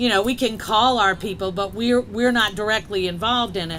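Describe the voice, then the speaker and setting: A woman with an unremarkable speaking voice keeps a moderate pace, her pitch fairly high and its variation ordinary. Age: 50s. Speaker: state legislator. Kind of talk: public speech.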